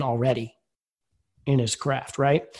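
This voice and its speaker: A man speaks with an American accent and a somewhat breathy voice. His intonation is monotone and flat. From Philadelphia. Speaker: baseball writer and podcaster. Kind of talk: casual chat.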